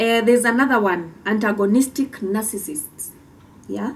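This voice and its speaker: With a Kenyan accent, a woman speaks at a moderate pace in a somewhat breathy, fairly high voice with lively intonation. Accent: Kimbere (Mbeere) Kenyan. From Kenya, Mbeere (Embu County). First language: Kimbere (Mbeere). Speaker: podcast co-host. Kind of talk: casual explainer talk.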